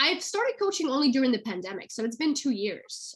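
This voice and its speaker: A woman with a Russian accent amid noticeable background noise. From Russia, St Petersburg. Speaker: actress and acting career coach. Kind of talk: interview. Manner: fast.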